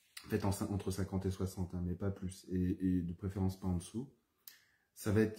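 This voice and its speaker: A man's fairly low voice, somewhat breathy, with a dark, mellow tone. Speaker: herbalist and aromatherapy trainer. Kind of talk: live-streamed teaching session. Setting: Facebook live video. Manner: calmer, more settled voice now; halting, many fillers and repetitions.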